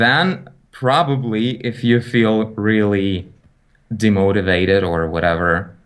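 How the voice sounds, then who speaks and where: At a very slow pace, a man speaks with fairly low pitch and ordinary pitch variation. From Ukraine. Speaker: digital artist and YouTube educator. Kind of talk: casual interview.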